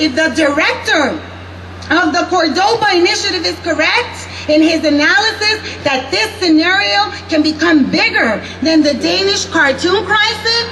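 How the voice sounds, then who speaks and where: In an angry tone, a woman uses a raised, projected voice at extremely high pitch, with lively intonation, very even loudness and a fairly slow pace over noticeable background noise. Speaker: rally speaker. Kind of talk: public rally speech. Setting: outdoor rally with PA and crowd. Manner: angry, forceful, fiery.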